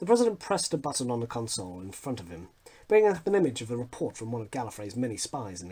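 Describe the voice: This is plain reading aloud. The voice simply reads the text.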